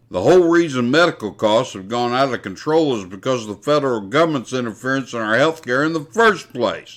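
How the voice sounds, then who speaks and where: With an American accent and an ordinary speaking voice, a man talks at a fairly quick pace in a medium pitch, his intonation lively. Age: 60s. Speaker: podcast host. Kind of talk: scripted commentary. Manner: formal.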